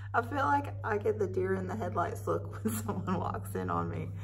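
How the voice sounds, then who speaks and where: Loud background noise around a woman's voice. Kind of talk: casual vlog chat. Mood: playful, laughing often. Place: classroom. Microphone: phone near.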